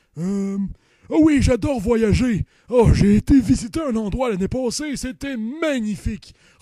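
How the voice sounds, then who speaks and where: Putting on a character voice, a man speaks at an extremely high pitch at a moderate pace. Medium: comedy sketch.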